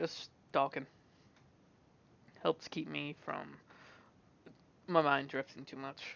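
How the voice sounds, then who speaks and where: The speech moves at a very slow pace. Long pauses come often. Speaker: gaming vlogger. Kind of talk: casual monologue. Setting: at desk recording alone. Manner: halting, stuttering. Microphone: headset mic cutting out.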